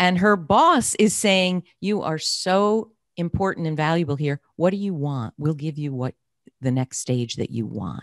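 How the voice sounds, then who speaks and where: A woman with a fairly low voice talks at a fairly slow pace, her pitch swinging very widely, in a dry sound with no echo over a quiet background. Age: 60s. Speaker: career coach and podcast host. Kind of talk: interview. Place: home room. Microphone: studio mic.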